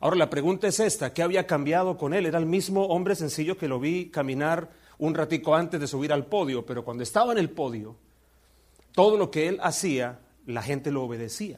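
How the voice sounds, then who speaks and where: In a very clean recording with a silent background, a man with an ordinary speaking voice talks at a fairly quick pace, his fairly high pitch moving in lively intonation. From Colombia. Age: 50s. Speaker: visiting preacher. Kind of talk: sermon.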